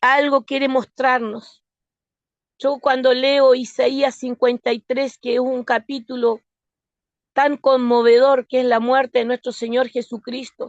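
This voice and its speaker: A woman with a slight Argentine accent speaks at a high pitch. Her pace is very slow and her intonation monotone and flat. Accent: slight Argentine lilt. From Argentina (born in Osorno, Chile). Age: 60s. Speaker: lay preacher. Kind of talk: sermon.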